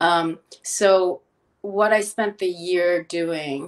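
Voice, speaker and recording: A woman with a Philadelphia accent, fairly low in pitch with fairly even intonation, on a very clean recording with a silent background. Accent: American, Philadelphia. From Philadelphia, US (moved from Korea at six). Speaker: chef and health counselor. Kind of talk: interview conversation. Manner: hesitant, many fillers.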